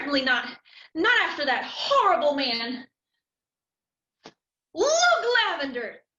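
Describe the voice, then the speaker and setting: Using a put-on character voice, a woman speaks high in pitch at a moderate pace, with lively intonation, long, frequent pauses and a slight echo. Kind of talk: melodrama heroine acting. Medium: stage play.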